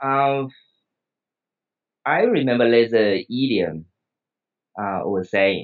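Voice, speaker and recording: A man with a Taiwanese accent talks at a very slow pace, leaving long, frequent pauses. His pitch is medium and varies in an ordinary way. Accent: Taiwanese Mandarin-accented English. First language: Mandarin Chinese. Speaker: psychiatrist and English learner. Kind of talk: interview. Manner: halting, many fillers.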